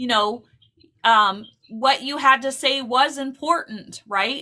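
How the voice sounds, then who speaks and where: A woman projects a raised, high-pitched voice with a bright, sharp tone and ordinary pitch variation. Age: 60s. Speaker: psychic medium and live stream host. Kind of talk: live stream chat. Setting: live stream.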